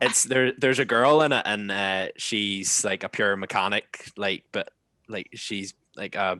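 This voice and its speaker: A man with a Northern Irish accent, fairly low in pitch and bright, sharp in tone, at a fairly slow pace with ordinary pitch variation, in a dry, close sound with no echo against a quiet background. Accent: Northern Irish (Ballymena, Ulster Scots). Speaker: podcast host. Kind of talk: casual chat. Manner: animated.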